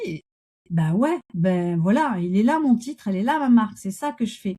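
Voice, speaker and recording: Her tone is dark and mellow as a woman speaks at a moderate pace with lively intonation. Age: 60s. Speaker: coach and Gestalt therapist. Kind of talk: interview conversation. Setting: podcast interview.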